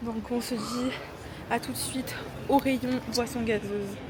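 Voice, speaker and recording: Noticeable background noise behind a woman's high, monotone, flat voice at a fairly slow pace. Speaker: fitness content creator. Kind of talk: casual vlog talk to camera. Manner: hesitant, stumbles over words.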